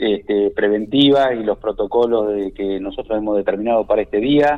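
Ordinary pitch variation runs through a man's medium-pitched voice. He speaks at a fairly slow pace. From La Pampa, Argentina. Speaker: provincial government minister. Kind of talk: radio interview. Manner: halting, with frequent fillers.

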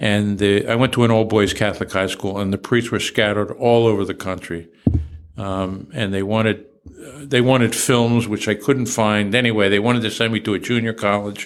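A speaker with a New Jersey accent talks at a moderate pace, with fairly even intonation. There is noticeable background noise. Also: man, fairly low pitch for a man. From New Jersey, Trenton. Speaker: retired state police chief. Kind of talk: interview.

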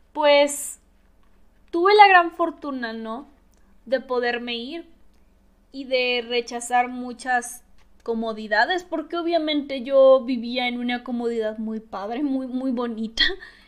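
Her voice is high, with ordinary pitch variation and big swings in loudness, as this woman speaks at a very slow pace. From Mexico, Tabasco. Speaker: podcaster. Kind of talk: personal monologue. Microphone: new microphone.

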